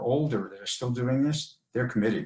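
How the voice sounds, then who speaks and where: Medium-pitched, somewhat breathy male voice at a fairly quick pace. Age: 70s. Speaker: jiu-jitsu brown belt and strength coach. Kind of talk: interview.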